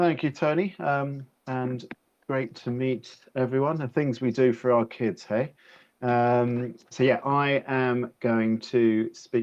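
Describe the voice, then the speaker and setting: The speaker is a man. He talks in an English accent. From England, near London. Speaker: education consultant. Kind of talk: webinar presentation. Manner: hesitant, many fillers.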